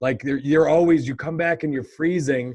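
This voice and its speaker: A man talks with ordinary pitch variation and keeps to a moderate pace. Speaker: podcast co-host. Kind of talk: casual chat. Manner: loud.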